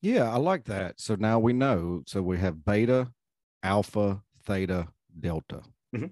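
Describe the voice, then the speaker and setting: A man with an American accent talks at a fairly slow pace, leaving long, frequent pauses. His pitch is fairly low, with ordinary variation. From US South, North Carolina. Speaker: podcast host, retired law enforcement.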